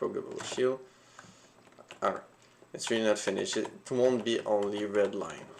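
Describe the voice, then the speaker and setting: The speaker has a non-native accent and leaves long, frequent pauses. Noticeable background noise runs through the clip. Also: moderate pace. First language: not English. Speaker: solo indie game developer streaming. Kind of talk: casual livestream commentary. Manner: halting, many fillers.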